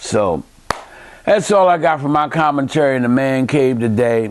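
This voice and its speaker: With noticeable background noise behind him, a man talks at a medium pitch and moderate pace, his pitch varying in an ordinary way. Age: 60s. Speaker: video commentator. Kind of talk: monologue commentary. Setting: home man cave. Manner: impassioned.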